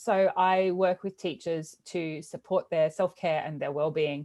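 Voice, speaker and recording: A woman at medium pitch with an Australian accent, talking at a fairly slow pace against a quiet background. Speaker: teacher wellbeing coach and podcast host. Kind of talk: interview.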